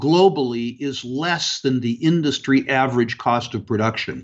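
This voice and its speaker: Here is a man with a plain, everyday voice. He speaks at a fairly slow pace, fairly high in pitch, with ordinary pitch variation. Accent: American. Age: 60s. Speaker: natural resource investor. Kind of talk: interview.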